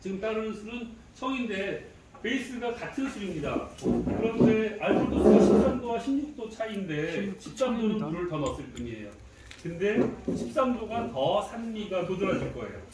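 A man at a moderate pace with ordinary pitch variation, amid loud background noise and audible room echo. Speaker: brewery host leading tasting. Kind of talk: guided tasting explanation. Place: cafe. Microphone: camera far.

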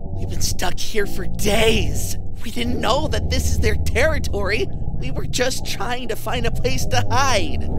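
A cartoonish character voice in a panicked tone, fairly slow in pace with hardly any pauses, over loud background noise. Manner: panicked, pleading.

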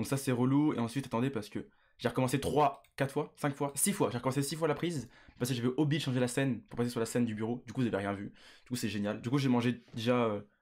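Very fast delivery over a quiet background. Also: man, ordinary pitch variation. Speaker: streamer. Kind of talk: casual stream chat. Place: home room. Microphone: studio mic.

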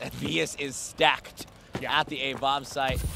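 The delivery has an animated tone. Background noise is noticeable. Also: man. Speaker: esports commentator. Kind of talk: live esports commentary, rapid play-by-play calling each kill and rotation. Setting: tournament stage with crowd. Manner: fast, animated, excitable.

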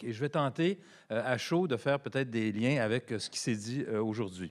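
Over a quiet background, a man talks at a moderate pace in a plain, everyday voice, his pitch medium with ordinary variation. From Quebec. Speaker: economics professor and former politician; economics professor, former politician. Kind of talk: panel presentation. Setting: conference with audience. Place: hall. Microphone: podium.

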